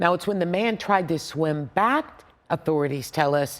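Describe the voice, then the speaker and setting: Moderately paced, a woman speaks with an ordinary speaking voice and ordinary pitch variation. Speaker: TV news anchor. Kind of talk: local TV newscast anchor read.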